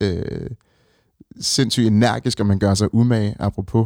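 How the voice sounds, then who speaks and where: On a very clean recording with a silent background, a man speaks at a fairly slow pace, his pitch fairly low with ordinary pitch variation. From Denmark, Ringsted (Zealand). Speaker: fashion icon and former musician. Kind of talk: casual interview. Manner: hesitant, many fillers.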